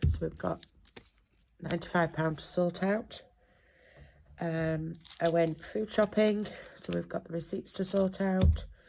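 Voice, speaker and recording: A woman with a northern English accent speaks at a moderate pace. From North West England. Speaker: budgeting vlogger. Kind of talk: casual vlog. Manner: hesitant, many fillers.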